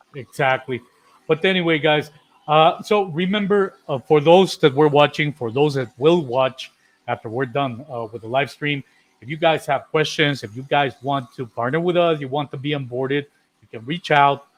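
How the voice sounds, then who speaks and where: The man has an unremarkable speaking voice at a fairly high pitch. He moves at a moderate pace with ordinary pitch variation. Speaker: co-host of a contractor insurance live show. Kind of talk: casual live-stream chat.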